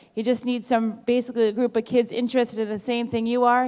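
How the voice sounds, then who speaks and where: A woman speaks loud and at a high pitch. Her pace is very fast. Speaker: high school principal. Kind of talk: school assembly speech. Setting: auditorium with student audience.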